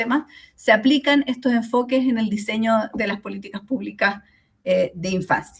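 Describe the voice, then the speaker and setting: Pitch shifts in an ordinary way as the speech proceeds at a moderate pace. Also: woman. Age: 40s. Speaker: sociologist and course lecturer. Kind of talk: online lecture. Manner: hesitant, many fillers.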